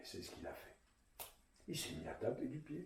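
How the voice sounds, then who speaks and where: A man's playful tone. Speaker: storyteller. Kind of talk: children's storytelling, tale told to an audience. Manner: lively, expressive, playful.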